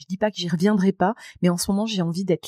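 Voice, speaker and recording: Talking at a very fast pace, a woman with a dark, mellow, somewhat breathy tone keeps her intonation fairly even in a dry, close recording with no echo. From France, Moselle. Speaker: public speaker and trainer. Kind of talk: podcast interview.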